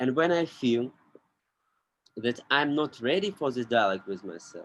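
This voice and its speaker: A man with a non-native accent speaks at medium pitch and a moderate pace, his intonation lively. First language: not English. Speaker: podcast guest. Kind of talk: casual chat. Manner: halting.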